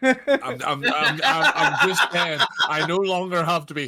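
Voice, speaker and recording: Against noticeable background noise, a man with a County Down accent speaks fairly slowly in a high pitch with very wide pitch swings. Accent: Northern Irish, County Down. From County Down, Northern Ireland. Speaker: gaming streamer.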